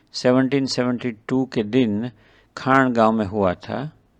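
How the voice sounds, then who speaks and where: A man's medium-pitched voice in a Gujarati accent, with fairly even intonation against a quiet background. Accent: Gujarati-accented Hindi. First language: Gujarati (speaking Hindi). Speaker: eye surgeon narrating a devotional travel video. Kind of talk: scripted narration. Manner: formal.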